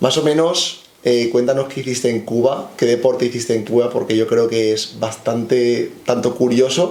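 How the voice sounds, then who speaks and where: The speech moves at a moderate pace with fairly even intonation. Room echo can be heard. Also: man. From Spain. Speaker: strength coach. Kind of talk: interview.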